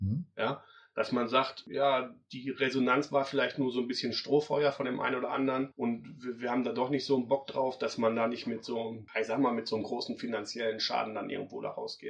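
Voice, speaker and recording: Delivered at a fairly quick pace with hardly any pauses, this is a plain, everyday voice. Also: man, medium pitch for a man. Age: 40s. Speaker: event organizer. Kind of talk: interview.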